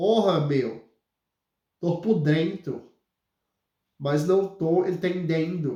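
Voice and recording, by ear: Putting on a nasal character voice, a man speaks very slowly at a high pitch with long, frequent pauses.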